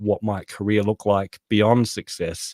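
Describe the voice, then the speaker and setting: Someone with an Australian accent speaks at a moderate pace in a dark, mellow tone. The sound is dry and close with no echo, on a very clean recording with a silent background. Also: man. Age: 40s. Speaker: author and productivity consultant. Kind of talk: podcast interview.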